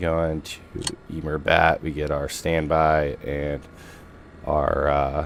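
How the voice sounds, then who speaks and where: Through noticeable background noise, a man with a very deep, low pitch speaks at a very slow pace in a monotone, flat intonation with long, frequent pauses. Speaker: flight sim streamer, real jet pilot. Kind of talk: casual flight tutorial. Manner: casual, halting with fillers.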